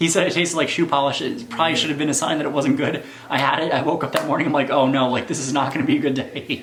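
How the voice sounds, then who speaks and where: A man at a very fast pace, fairly high in pitch, with fairly even intonation and noticeable background noise. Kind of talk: casual talk to camera.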